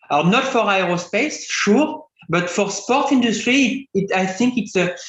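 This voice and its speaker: A man's voice with lively intonation at a moderate pace, plus audible room echo. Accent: French. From France. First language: French. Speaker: composites engineering expert. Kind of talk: Q&A answer in webinar lecture. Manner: halting, many fillers and restarts.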